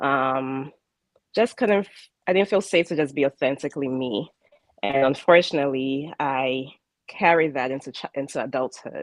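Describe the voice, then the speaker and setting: A woman with a Ghanaian accent speaks at a moderate pace with a very deep, low pitch. Her loudness swings widely. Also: ordinary pitch variation. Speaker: spiritual life coach. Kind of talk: interview. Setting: live broadcast. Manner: halting, with fillers.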